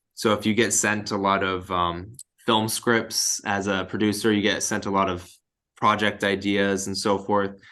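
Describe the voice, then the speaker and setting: This man has a fairly low pitch and a bright, sharp tone, in an American accent. His intonation is monotone and flat. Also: moderate pace. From Southern California, Inland Empire. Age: 20s. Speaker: sales manager. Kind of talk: motivational talk to a team. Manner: casual, filler-heavy.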